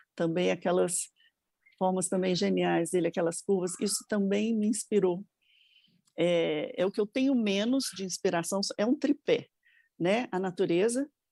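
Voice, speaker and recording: A woman with a medium pitch and a dark, mellow tone speaks at a fairly slow pace with long, frequent pauses, very even loudness and ordinary pitch variation, in a very clean recording with a silent background and a dry, close sound with no echo. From Brasília, Brazil. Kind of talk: interview, personal testimony.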